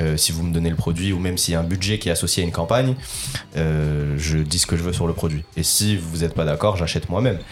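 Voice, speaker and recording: A man speaks at a very fast pace with a very deep, low pitch and ordinary pitch variation. Noticeable background noise runs underneath. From northern France, Lille area. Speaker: basketball content creator. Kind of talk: casual chat.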